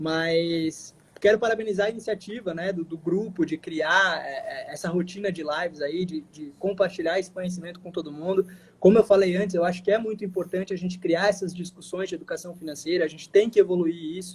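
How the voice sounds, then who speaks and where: His voice sits high in pitch. He talks at a fairly quick clip. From Santa Catarina, southern Brazil. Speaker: financial education specialist. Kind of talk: live stream interview. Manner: fast; animated.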